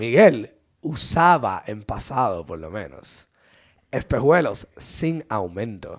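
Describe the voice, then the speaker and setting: A man's medium-pitched voice at a very slow pace, with very wide pitch swings and big swings in loudness. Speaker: podcast co-host. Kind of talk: casual chat.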